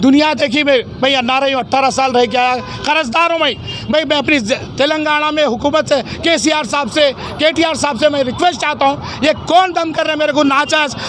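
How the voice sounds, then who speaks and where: A man's extremely high-pitched voice at a moderate pace, with fairly even intonation and crowd noise behind. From Hyderabad, India. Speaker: shopkeeper. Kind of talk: complaint to media. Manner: halting.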